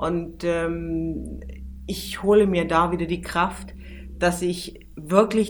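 A woman with a fairly low pitch speaks with vocal fry and fairly even intonation. Audible room echo surrounds her voice. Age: 40s. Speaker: PR manager and travel journalist. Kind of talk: interview.

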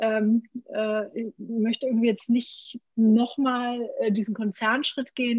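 A woman speaks in a fairly high pitch with monotone, flat intonation, recorded with a dry, close sound and no echo. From Franconia, Germany. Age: 30s. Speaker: brewery founder. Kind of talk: interview. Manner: many filler sounds.

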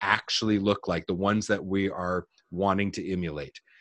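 A man with a Canadian accent and a fairly low pitch speaks in a normal speaking voice at a moderate pace, in a dry, close sound with no echo. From New Brunswick, Canada. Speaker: business coach. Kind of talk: interview.

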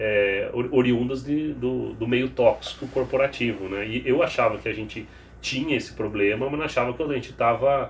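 Delivered at a moderate pace with ordinary pitch variation, the speech sits over noticeable background noise. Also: man. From Piracicaba, São Paulo state, Brazil. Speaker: HR executive. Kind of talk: interview conversation.

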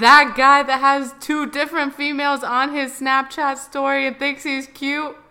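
A woman with a high pitch talks in a raised, projected voice at a fairly slow pace, her bright, sharp tone delivered in a flat monotone with hardly any pauses. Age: young. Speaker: podcast co-host. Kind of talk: casual chat.

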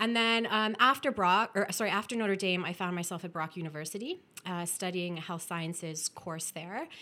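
A woman's medium-pitched voice in a Canadian accent, bright and sharp in tone, with ordinary pitch variation, a moderate pace, and hardly any pauses. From Ontario, Canada (Welland). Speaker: public health consultant. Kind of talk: casual interview chat. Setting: studio office.

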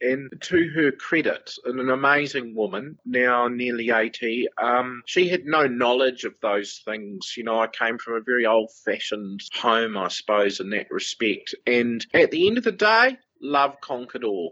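A man with an ordinary speaking voice talks at a fairly slow pace with hardly any pauses, using a medium pitch with ordinary variation. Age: 40s. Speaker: interview guest. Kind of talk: casual chat.

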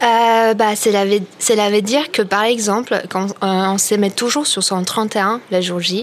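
Speaking at a very slow pace with fairly even intonation, a woman is heard over noticeable background noise. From Poland. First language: Polish (speaking French). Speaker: radio panelist. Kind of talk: casual chat.

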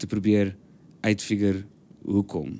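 A man speaks with a dark, mellow tone and fairly low pitch. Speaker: stage and TV actor. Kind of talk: casual chat. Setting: on a stoep (porch).

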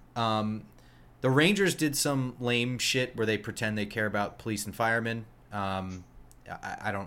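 With an American accent, a man talks at medium pitch and a moderate pace in a bright, sharp tone. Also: ordinary pitch variation. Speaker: podcast host. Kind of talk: casual banter, sports podcast.

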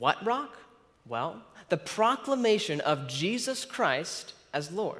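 Slowly and with big pitch swings, a man speaks in a high pitch with a fairly bright tone.

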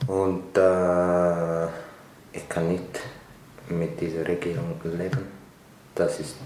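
Very slow speech in an Eritrean accent, with audible room echo. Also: man. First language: Tigrinya (speaking German). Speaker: refugee, restaurant worker. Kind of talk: interview.

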